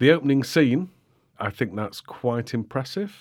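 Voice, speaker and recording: At a moderate pace, a man speaks with a British accent. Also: very clean recording, silent background. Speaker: podcast host. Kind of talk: casual chat. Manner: informal, conversational.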